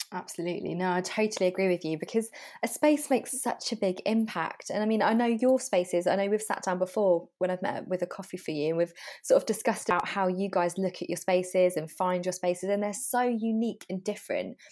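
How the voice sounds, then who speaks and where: A woman at medium pitch talks at a very fast pace with ordinary pitch variation. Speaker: podcast host. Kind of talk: interview.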